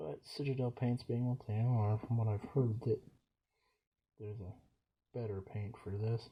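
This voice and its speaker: A quiet man mumbles at a fairly slow pace. His medium-pitched voice has a dark, mellow tone and is somewhat breathy. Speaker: hobbyist miniature painter, YouTuber. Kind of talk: casual painting commentary. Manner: mumbling, quiet. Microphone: poor recording setup.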